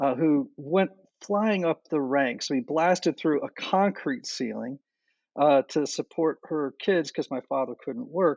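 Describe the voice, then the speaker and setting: This man has a normal speaking voice with fairly high pitch. He talks at a fairly slow pace, his intonation lively. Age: 60s. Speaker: enneagram teacher and podcaster. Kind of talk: interview.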